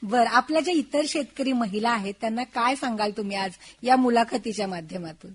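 A woman's normal speaking voice, fairly high in pitch, with lively intonation. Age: young. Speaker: radio host. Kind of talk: radio interview.

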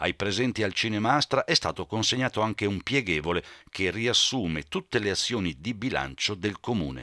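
A man's bright, sharp voice at a fairly low pitch, with lively intonation, vocal fry and a moderate pace, in a dry, close sound with no echo and a very clean recording over a silent background. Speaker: local TV news reporter. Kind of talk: news report narration.

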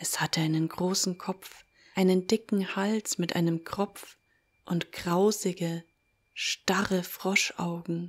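In a very clean recording with a silent background, the voice carries a dramatic tone at a very slow pace. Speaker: storyteller and audio-story creator. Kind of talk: folk-tale narration, read aloud. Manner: slow, hushed storyteller pace with eerie dramatic emphasis; vivid, gripping, building suspense.

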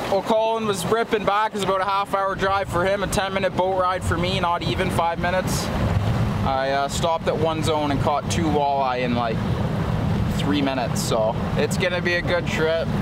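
Moderate pace and ordinary pitch variation over loud background noise. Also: man. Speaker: fishing vlogger host. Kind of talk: casual vlog chat. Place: boat. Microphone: phone near.

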